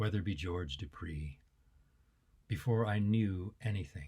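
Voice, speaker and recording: A man's fairly low, dark, mellow, somewhat breathy voice, with lively intonation at a fairly slow pace, on a very clean recording with a silent background. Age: 60s. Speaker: poet. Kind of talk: poetry reading; casual introduction. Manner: halting.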